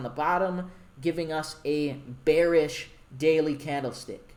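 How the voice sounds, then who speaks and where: Over noticeable background noise and audible room echo, a man talks at a very slow pace. His pitch is fairly high. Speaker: forex trading instructor. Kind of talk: tutorial. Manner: casual.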